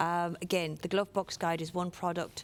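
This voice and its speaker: This very clean recording has a silent background. A woman speaks at a moderate pace with fairly even intonation. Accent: Irish. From Ireland. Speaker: workplace safety inspector. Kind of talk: conference presentation.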